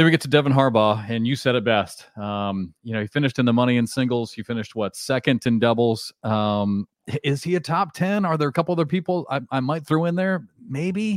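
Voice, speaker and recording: A plain, everyday voice, recorded very cleanly against a silent background with a dry, close sound and no echo. The pace is fairly quick, the intonation lively, and there are hardly any pauses. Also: man, medium pitch for a man. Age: 50s. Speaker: podcast host. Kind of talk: casual chat.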